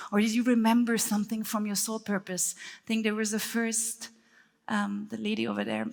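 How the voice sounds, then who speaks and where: A woman speaks at a moderate pace in a German accent. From Germany. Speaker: speaker and breathwork teacher. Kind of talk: workshop talk.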